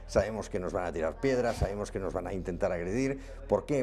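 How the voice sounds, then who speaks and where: The speaker is a man. He has a Catalan accent. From Catalonia. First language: Catalan (speaking Spanish). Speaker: political candidate. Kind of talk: political interview. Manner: halting.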